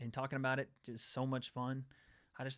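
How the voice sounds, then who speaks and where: This very clean recording with a silent background features a man speaking with a slight Southern US accent. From Tennessee. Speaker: MMA show host. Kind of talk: casual chat.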